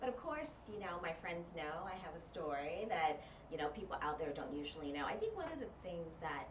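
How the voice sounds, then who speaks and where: Over noticeable background noise and audible room echo, a woman with a Californian accent speaks at a fairly quick pace in a very deep, low pitch with lively intonation. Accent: sounds Californian. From Thailand. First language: Thai. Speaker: journalist and media trainer. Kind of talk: podcast interview.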